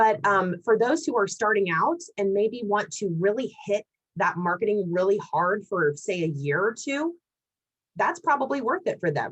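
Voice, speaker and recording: Here a woman speaks at a medium pitch. Her voice moves in very wide pitch swings. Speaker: LinkedIn marketing speaker. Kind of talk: Q&A after presentation. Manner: fast.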